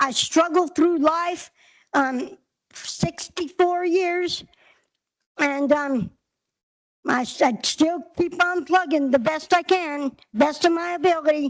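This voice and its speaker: Very slow delivery in an American accent, with long, frequent pauses and ordinary pitch variation. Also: woman, extremely high pitch for a woman. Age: 60s. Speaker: clubhouse member speaking at public hearing. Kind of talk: public testimony. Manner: halting, hesitant.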